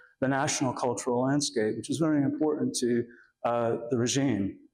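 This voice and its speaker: The delivery is fairly quick with ordinary pitch variation. Room echo is audible. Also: man. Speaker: architecture historian, author. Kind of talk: lecture. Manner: halting, many fillers.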